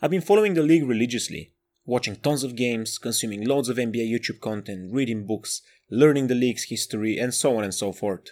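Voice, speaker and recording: Over a very clean recording with a silent background, a man with a Bulgarian accent talks at a very fast pace in a medium pitch with ordinary pitch variation. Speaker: podcast host. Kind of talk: scripted monologue.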